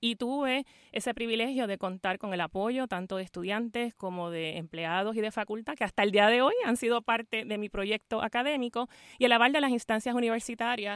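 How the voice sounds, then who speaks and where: An ordinary speaking voice, a woman's fairly high pitch at a fairly quick pace, with ordinary pitch variation and a dry, close sound with no echo. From Puerto Rico, Fajardo. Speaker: law school dean. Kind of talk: radio interview. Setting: radio studio, live.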